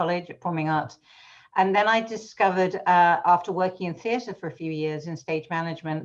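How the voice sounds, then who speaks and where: A woman with a British accent, fairly low in pitch, at a fairly quick pace. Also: quiet background. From England, London. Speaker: education association executive. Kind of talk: interview conversation. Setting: video call.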